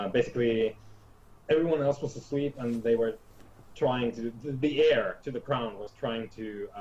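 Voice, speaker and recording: A man's medium-pitched voice at a fairly slow pace, with noticeable background noise. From Finland. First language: Finnish. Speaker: tabletop game master. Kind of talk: casual chat. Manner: hesitant, many fillers.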